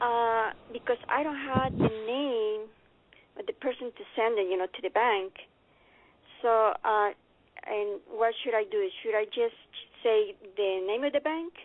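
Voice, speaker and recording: A woman with a non-native accent speaks at a fairly slow pace and a fairly high pitch. She uses ordinary pitch variation and takes long, frequent pauses. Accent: heavy non-native. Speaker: caller. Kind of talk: call-in question. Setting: phone call. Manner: halting, many fillers.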